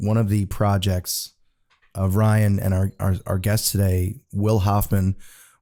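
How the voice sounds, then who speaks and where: A man's fairly low, dark and mellow voice at a fairly slow pace on a very clean recording with a silent background. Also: very even loudness. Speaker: podcast host. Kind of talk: casual chat.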